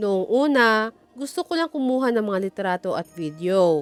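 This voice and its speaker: A woman's fairly high voice with very wide pitch swings, at a moderate pace. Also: dry, close sound with no echo. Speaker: vlogger. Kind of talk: personal vlog monologue.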